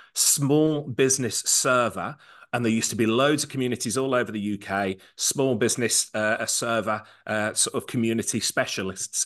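Over a quiet background, a man with an English accent speaks at a moderate pace in a bright, sharp tone, with medium pitch and ordinary pitch variation. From England. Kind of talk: casual chat. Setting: live event venue.

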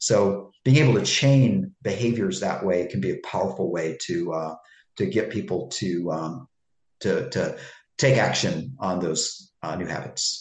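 Speaking slowly and somewhat breathily, a man uses a fairly low pitch with lively intonation. Audible room echo fills the recording. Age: 60s. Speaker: personal trainer and author. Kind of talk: interview. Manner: halting, many fillers and repeats.

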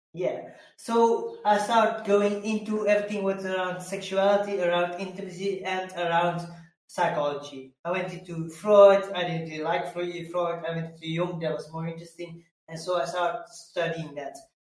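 A man's high voice at a moderate pace, fairly even in intonation, with audible room echo. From Belgium. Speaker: mindset coach. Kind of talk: interview conversation.

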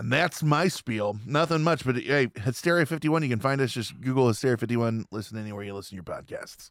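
On a very clean recording with a silent background, a man races at a very fast pace with hardly any pauses, his medium pitch carried by lively intonation. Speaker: podcast host and judge. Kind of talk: casual chat.

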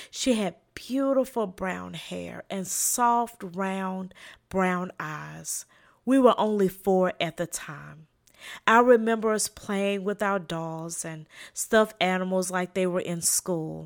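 A woman speaks very slowly at a medium pitch, with a slight Southern US accent and ordinary pitch variation. Her loudness swings widely, and the recording is very clean with a silent background. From South Carolina, US South. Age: 40s. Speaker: podcast host, leadership trainer and social worker. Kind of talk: inspirational solo talk.

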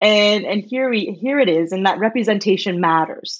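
A woman speaks with a Canadian accent. Her intonation is lively. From Ontario, Canada (small town outside Toronto). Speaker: professor. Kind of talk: casual chat.

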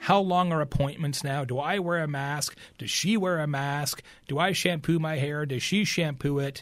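A man with a plain, everyday voice talks at a moderate pace in a fairly high pitch, his intonation fairly even. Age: 50s. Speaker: keynote speaker and marketing author. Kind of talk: podcast interview.

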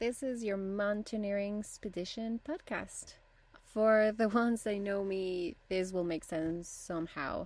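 Speaking fairly slowly with a Spanish accent, a woman uses lively intonation at a medium pitch. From Bolivia. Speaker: podcast host, rock climber and photographer. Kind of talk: podcast introduction monologue. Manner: slightly halting.

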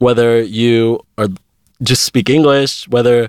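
A man speaks in a Pittsburgh accent, the sound dry and close with no echo. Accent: American, Pittsburgh area. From Pittsburgh, Pennsylvania, US. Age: 20s. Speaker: aspiring multimedia journalist. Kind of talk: casual interview.

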